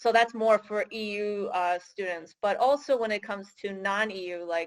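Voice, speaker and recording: Speaking at a moderate pace in a Michigan accent, a woman has a medium pitch, recorded dry and close with no echo. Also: very clean recording, silent background. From US, Michigan. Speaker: career advisor for international students. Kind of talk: interview. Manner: hesitant, many fillers.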